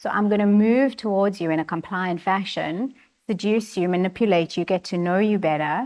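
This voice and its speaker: At a fairly quick pace, a woman speaks at a medium pitch with ordinary pitch variation over a quiet background. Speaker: personality coach. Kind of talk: interview. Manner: soft-spoken.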